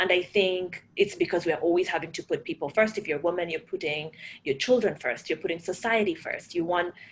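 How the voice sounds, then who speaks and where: In a Kenyan accent, a woman speaks at a fairly quick pace. Her pitch is fairly low. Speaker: panel moderator, startup program leader. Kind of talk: panel discussion. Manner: animated.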